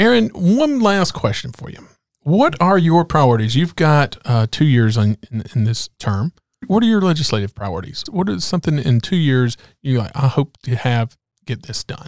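A man speaks with an American accent and very wide pitch swings. The sound is dry and close, with no echo. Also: moderate pace. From rural North Carolina. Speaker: podcast host, business advocate. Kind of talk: interview.

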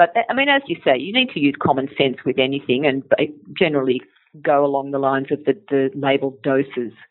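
A woman speaks at a fairly quick pace with fairly even intonation. Her pitch is very deep and low. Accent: Australian. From Australia, Sydney. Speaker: naturopath and company educator. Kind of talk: interview.

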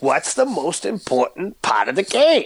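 A man puts on a character voice in a Boston accent, pitched high. He speaks at a moderate pace.

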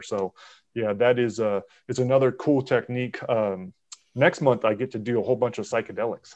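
A man with an unremarkable speaking voice talks at a fairly quick pace and medium pitch. His intonation stays fairly even against a quiet background. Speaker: podcast host. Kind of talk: casual chat.

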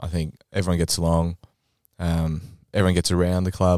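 An Australian man with a very deep, low pitch and a dark, mellow tone talks at a fairly quick pace in a monotone, flat intonation, the sound dry and close with no echo on a very clean recording with a silent background. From Adelaide, South Australia. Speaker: amateur Australian rules football vice-captain. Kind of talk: casual chat. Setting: studio.

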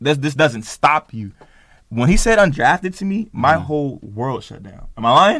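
A man with an American accent talks in an unremarkable speaking voice with a fairly high pitch. His pace is moderate. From Oakland, California. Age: 20s. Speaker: professional basketball player. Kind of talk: interview; casual chat. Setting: studio.

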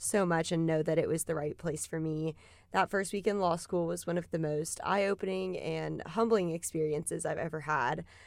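A woman's normal speaking voice, fairly low in pitch, at a moderate pace, on a very clean recording with a silent background. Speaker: law student. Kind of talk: interview.

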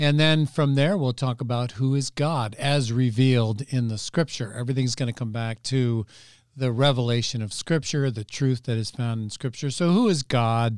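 On a very clean recording with a silent background, a man with an ordinary speaking voice talks at a moderate pace in a medium pitch with ordinary variation. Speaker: pastor. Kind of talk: teaching explanation of church program.

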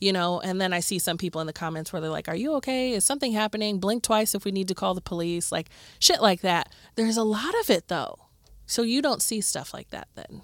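A woman with a Midwestern accent talks at a very fast pace, medium in pitch, with lively intonation. The recording is very clean, with a silent background. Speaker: podcast co-host. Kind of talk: casual chat. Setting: studio.

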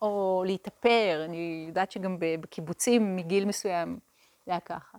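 A woman with an ordinary speaking voice and medium pitch is heard in a dry, close sound with no echo, in a very clean recording with a silent background. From Israel, Hadera. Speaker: meditation teacher. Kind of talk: lecture.

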